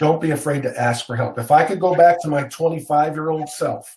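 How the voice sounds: Pitched fairly high, a man talks at a fairly quick pace with a slightly mellow tone and ordinary pitch variation.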